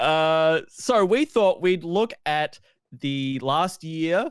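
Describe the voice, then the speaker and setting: This man speaks with an Australian accent and a fairly high pitch. His intonation is lively, and the recording is very clean with a silent background. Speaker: video games podcast host. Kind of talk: casual chat. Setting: live-streamed podcast.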